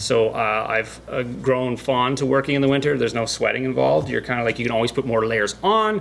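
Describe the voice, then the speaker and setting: A man at a fairly quick pace with lively intonation, very even loudness and hardly any pauses, over noticeable background noise. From Canada (Northern Ontario). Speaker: YouTube builder. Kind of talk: casual chat.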